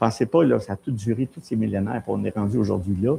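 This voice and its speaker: In a Quebec accent, a man speaks. The sound is dry and close, with no echo. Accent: Québécois French. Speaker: pastor. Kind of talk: sermon. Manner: animated.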